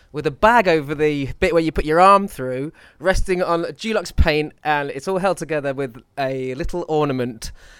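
Captured on a very clean recording with a silent background, a man in an ordinary speaking voice moves at a fairly quick pace with a fairly high pitch and lively intonation. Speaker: podcast co-host and screenwriter. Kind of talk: casual chat. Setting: gym front desk. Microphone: poor audio.

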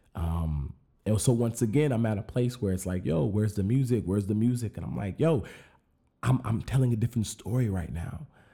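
A man with an American accent speaks at a fairly quick pace in a somewhat breathy, dark, mellow tone with fairly low pitch and lively intonation. The recording is very clean, with a silent background. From rural Arizona. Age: 30s. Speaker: podcast host. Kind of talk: solo monologue. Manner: casual, many fillers and repetitions.

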